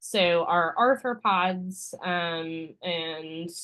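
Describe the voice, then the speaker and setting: A woman speaks with fairly even intonation. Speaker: university lecturer. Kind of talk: lecture. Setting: classroom with Zoom stream. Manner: many filler ums.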